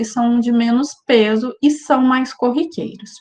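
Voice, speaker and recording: A woman speaks at a fairly slow pace, her voice pitched fairly high. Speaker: university lecturer. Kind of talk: lecture. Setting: video call.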